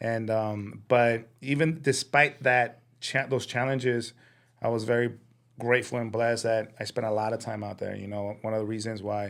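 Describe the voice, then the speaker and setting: A man talks in a Spanish accent at a medium pitch. His intonation stays fairly even. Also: moderate pace. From Sinaloa, Mexico, raised in East Phoenix. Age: 30s. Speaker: chef and restaurant owner. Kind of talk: casual interview. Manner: hesitant, many fillers.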